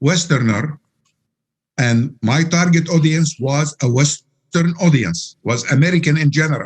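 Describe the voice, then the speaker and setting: A man's somewhat breathy voice at a fairly slow pace, with ordinary pitch variation and very even loudness. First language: Arabic. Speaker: Quran translator. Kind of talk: interview. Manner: halting.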